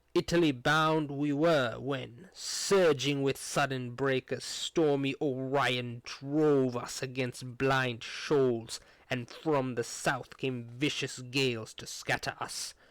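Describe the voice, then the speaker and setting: Using a put-on character voice, a man speaks at a medium pitch and a fairly slow pace. His intonation stays fairly even, with hardly any pauses. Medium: read story. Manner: calm, composed, formal.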